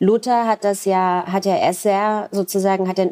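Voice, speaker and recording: A woman's dark, mellow tone, dry and close with no echo. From East Berlin, Germany. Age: 40s. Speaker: author. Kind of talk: interview.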